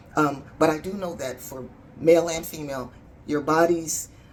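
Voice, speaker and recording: Over noticeable background noise and audible room echo, a woman speaks at a fairly low pitch and moderate pace with ordinary pitch variation. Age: 60s. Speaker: vlogger. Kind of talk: casual video diary. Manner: halting.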